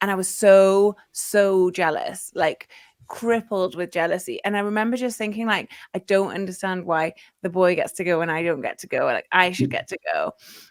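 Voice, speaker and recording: A woman talks with a slight Geordie accent and ordinary pitch variation. The sound is dry and close, with no echo. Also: medium pitch for a woman, moderate pace. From northern England, Newcastle. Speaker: football podcaster. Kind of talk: casual chat.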